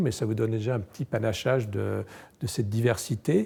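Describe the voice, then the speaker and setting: At a moderate pace, a man speaks in a dark, mellow, somewhat breathy tone at a medium pitch. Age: 60s. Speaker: entomologist. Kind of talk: guided tour. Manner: hesitant, many fillers.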